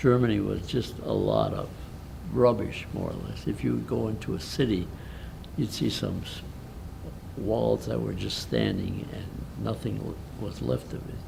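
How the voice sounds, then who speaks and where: A man's very deep, low voice with an American accent at a fairly slow pace, with audible room echo. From Milwaukee, Wisconsin, US Midwest. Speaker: war veteran. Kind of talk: interview. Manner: halting.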